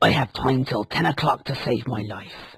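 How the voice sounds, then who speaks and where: A man puts on a growling character voice at medium pitch and a moderate pace. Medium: read story.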